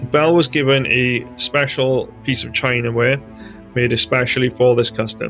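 A man with a Welsh accent speaks at a moderate pace in a medium pitch, his intonation fairly even, with music playing in the background. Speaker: history narrator. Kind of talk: history narration. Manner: dull, flat.

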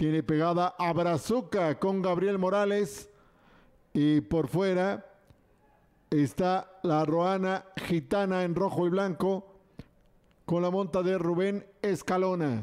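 A high-pitched man at a very slow pace, with long, frequent pauses, very even loudness and fairly even intonation. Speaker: horse race announcer. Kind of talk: live race commentary. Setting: racetrack PA system.

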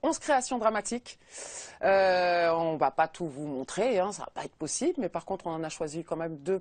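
A woman's medium-pitched voice with lively intonation, over a quiet background. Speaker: TV show host. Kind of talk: TV talk show presenting. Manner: upbeat. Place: studio. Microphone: lapel.

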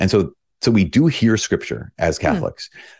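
Over a quiet background, a man with an American accent talks with very wide pitch swings. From northern Minnesota. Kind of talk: casual interview conversation. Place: home room. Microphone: studio mic.

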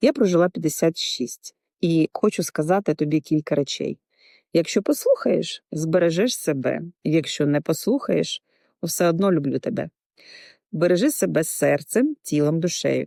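A woman speaks at a fairly slow pace. The recording is very clean and dry, close with no echo and a silent background. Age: 50s. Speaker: insurance agent. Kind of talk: scripted narration.

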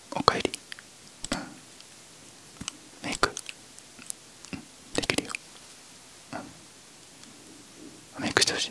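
Soft-spoken, the speaker moves at a very slow pace with long, frequent pauses. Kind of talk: soft-spoken ASMR makeup roleplay. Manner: soft, low-energy close-mic ASMR voice. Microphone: studio mic.

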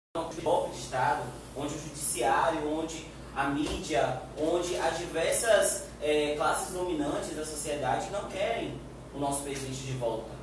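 A man talks at a moderate pace with fairly high pitch and ordinary pitch variation. The room echo is strong and the background noise is noticeable. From Bahia, Brazil. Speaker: youth party activist. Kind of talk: panel discussion. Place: meeting room. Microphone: camera far.

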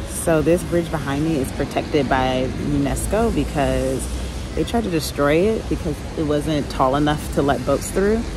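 Female speech, dry and echo-free, against clearly audible background noise. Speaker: travel vlogger. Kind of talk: casual vlog chat. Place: rain. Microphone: phone near.

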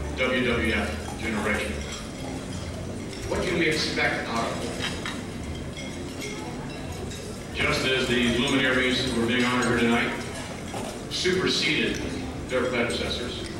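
Loud background noise and audible room echo fill the recording. The speech moves at a fairly slow pace with long, frequent pauses. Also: man. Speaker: ceremony host. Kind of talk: formal speech. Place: hall.

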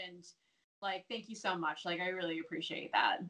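A woman with an American accent and a bright, sharp tone, against a quiet background. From United States. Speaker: professional wrestler; interview guest. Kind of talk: casual interview. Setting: video call. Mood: touched, grateful. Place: home room. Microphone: earbuds.

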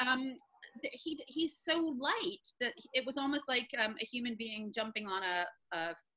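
A raised, projected voice with a bright, sharp tone moves at a fairly slow pace with lively intonation. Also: woman. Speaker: interview guest. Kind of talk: interview answer. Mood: warm, playful storytelling. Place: home room. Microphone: video call.

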